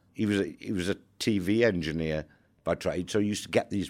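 A man with a Welsh accent and a very deep, low pitch speaks at a moderate pace with fairly even intonation. The recording is very clean, with a silent background. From Wales. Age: 60s. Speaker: former army undercover agent. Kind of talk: interview storytelling.

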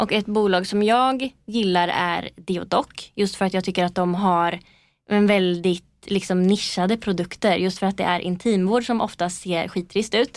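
An unremarkable speaking voice from a woman, medium in pitch, fairly slow and fairly even in intonation, at very even loudness, on a very clean recording with a silent background. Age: 20s. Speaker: PR agency co-founder. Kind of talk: interview. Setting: podcast studio.

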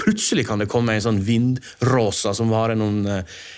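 Here a man talks with medium pitch and fairly even intonation in an ordinary speaking voice. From Norway, Lærdal (Sogn). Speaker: journalist and author. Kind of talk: interview.

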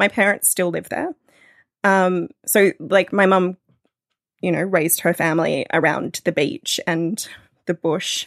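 A woman's fairly low voice in an Australian accent, with fairly even intonation and long, frequent pauses. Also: fairly slow pace, dry, close sound with no echo, very clean recording, silent background. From Australia, northeast New South Wales. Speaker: podcast producer and radio worker. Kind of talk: casual chat.

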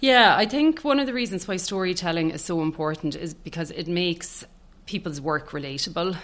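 A woman with an Irish accent, fairly low-pitched, with lively intonation at a fairly quick pace. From Ireland, County Tipperary. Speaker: public relations director. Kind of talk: interview conversation.

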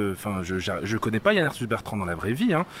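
At a fairly quick pace, a man talks over noticeable background noise. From France, Normandy (Caen suburbs). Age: 30s. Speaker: guest. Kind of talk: casual chat.

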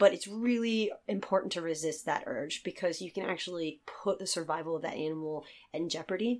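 This woman has a fairly low voice and an American accent, with ordinary pitch variation. She talks at a fairly quick pace with hardly any pauses. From Virginia, US. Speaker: seal rescue conservationist. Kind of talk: interview.

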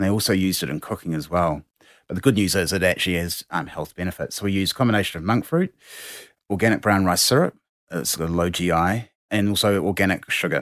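With a New Zealand accent, a man talks very fast at a very deep, low pitch with ordinary pitch variation, on a very clean recording with a silent background. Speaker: drinks company founder. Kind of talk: interview. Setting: studio.

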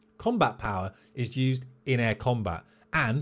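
The background is quiet. In it, a man talks with a British accent. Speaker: military pilot and podcast host. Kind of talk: solo educational podcast. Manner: fast; staccato.

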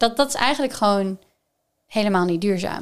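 In a very clean recording with a silent background, a woman with a normal speaking voice talks at a medium pitch with ordinary pitch variation. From Netherlands, Gelderland (Groesbeek). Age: 20s. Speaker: sustainability expert. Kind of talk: casual chat.

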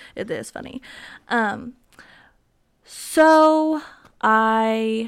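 An animated woman is heard in a very clean recording, the background silent. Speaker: podcaster. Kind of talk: casual solo chat. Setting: home dining table with microphone. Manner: animated, chatty, filler-heavy.

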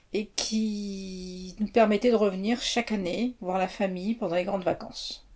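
A woman speaks at a fairly slow pace with hardly any pauses. Her voice is somewhat breathy, with monotone, flat intonation. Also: medium pitch for a woman. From France, childhood in Mauritania. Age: 50s. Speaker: interviewee. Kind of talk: interview. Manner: hesitant.

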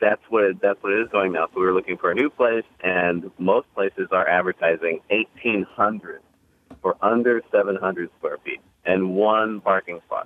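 A man's ordinary speaking voice, fairly low in pitch, with fairly even intonation at a moderate pace. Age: 30s. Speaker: caller. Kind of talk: call-in comment.

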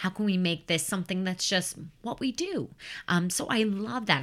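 In an American accent, a normal speaking voice moves at a fairly quick pace with lively intonation on a very clean recording with a silent background. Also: woman. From US Midwest, Chicago suburbs. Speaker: professional nanny. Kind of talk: casual interview.

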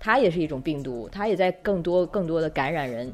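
The woman's speech rushes by at a very fast pace. She has a fairly low pitch. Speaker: podcast host. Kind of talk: casual interview chat. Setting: remote recording.

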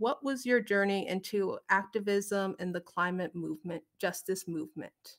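An unremarkable speaking voice with an American accent moves at a fairly slow pace with ordinary pitch variation, in a very clean recording with a silent background. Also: woman. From Omaha Tribe, Nebraska. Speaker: youth program director. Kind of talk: panel moderation.

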